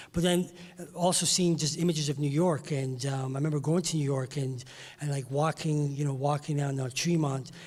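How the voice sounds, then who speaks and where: The speech moves at a fairly quick pace with fairly even intonation, and there is noticeable background noise. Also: man, fairly high pitch for a man. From England, West Indian family, later Toronto. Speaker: music industry insider, former broadcaster. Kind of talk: panel discussion. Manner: hesitant, many fillers.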